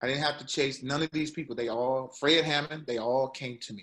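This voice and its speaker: A man's fairly high, bright, sharp voice at a moderate pace, with fairly even intonation and a quiet background. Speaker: actor and singer; actor. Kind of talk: interview. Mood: earnest, faith-driven. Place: home room. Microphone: video call.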